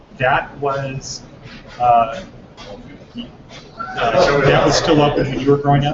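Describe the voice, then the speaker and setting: Amid noticeable background noise, a man with an American accent speaks at a fairly high pitch with fairly even intonation. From Northern California. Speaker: interviewer. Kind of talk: interview.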